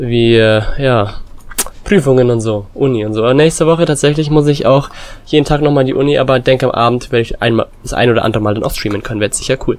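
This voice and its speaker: At a very fast pace, a man speaks at a medium pitch with ordinary pitch variation amid noticeable background noise. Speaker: gaming YouTuber. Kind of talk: gameplay commentary. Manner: casual, filler-heavy.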